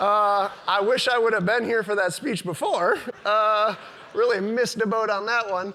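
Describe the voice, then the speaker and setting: A raised, projected voice with fairly even intonation and very even loudness moves at a moderate pace amid audible room echo and noticeable background noise. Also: man, high pitch for a man. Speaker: business owner giving a talk. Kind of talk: conference talk.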